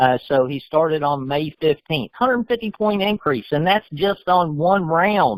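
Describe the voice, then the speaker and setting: At a moderate pace, a man with an ordinary speaking voice and a fairly high pitch uses lively intonation, recorded with a dry, close sound and no echo. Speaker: financial program presenter. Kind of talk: sales pitch.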